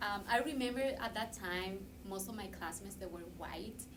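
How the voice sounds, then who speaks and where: Audible room echo and noticeable background noise surround a woman whose pitch varies in an ordinary way. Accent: Spanish. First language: Spanish. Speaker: graduate student. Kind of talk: casual chat.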